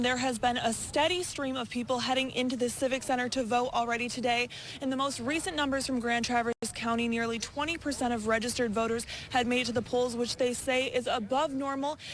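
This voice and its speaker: With an American accent, a high-pitched woman talks at a very fast pace with fairly even intonation over noticeable background noise. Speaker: TV news reporter. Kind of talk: TV news live stand-up.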